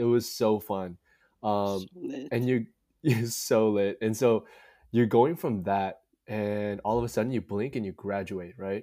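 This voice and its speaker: At a fairly slow pace, a man speaks with a fairly low pitch and a dark, mellow tone. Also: ordinary pitch variation. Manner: animated, joking.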